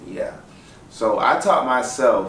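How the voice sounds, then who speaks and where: Noticeable background noise sits behind a man with an American accent talking at a very slow pace. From St. Petersburg, Florida. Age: 20s. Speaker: graphic designer. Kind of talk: personal story told to camera. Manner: casual, hesitant.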